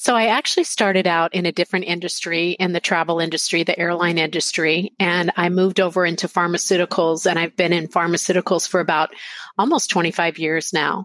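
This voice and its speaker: A woman with an unremarkable speaking voice and an American accent, fairly low pitch, fairly even intonation, very even loudness, a fairly quick pace and hardly any pauses, in a dry, close sound with no echo. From Texas, Lubbock. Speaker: pharmaceutical sales executive. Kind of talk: interview.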